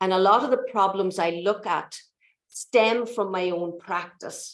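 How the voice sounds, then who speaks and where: Speaking in an Irish accent, a woman keeps her voice at a mid-level pitch. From Ireland. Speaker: mathematics lecturer and education researcher. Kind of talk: lecture.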